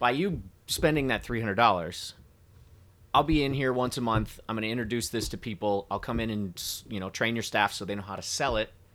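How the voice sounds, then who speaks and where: With a Midwestern American accent, a man talks at a fairly quick pace and medium pitch with ordinary pitch variation on a very clean recording with a silent background. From US Midwest. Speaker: whiskey brand representative. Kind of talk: casual chat.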